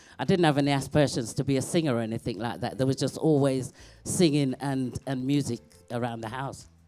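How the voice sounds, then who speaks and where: Music plays in the background as a woman speaks at a very fast pace, her pitch very deep and low, with ordinary pitch variation. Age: 60s. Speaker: singer. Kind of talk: interview.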